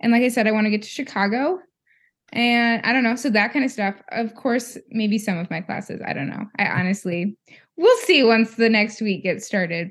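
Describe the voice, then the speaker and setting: Her fairly high voice is somewhat breathy, with lively intonation. The woman keeps a moderate pace. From South Dakota, Sioux Falls. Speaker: PhD student podcaster. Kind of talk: casual chat.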